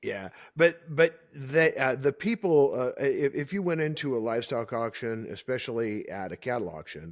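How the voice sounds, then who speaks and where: Here a man talks in a normal speaking voice, fairly high in pitch, at a moderate pace with lively intonation and big swings in loudness. The recording is very clean, with a silent background. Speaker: podcast host. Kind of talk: podcast interview, conversational.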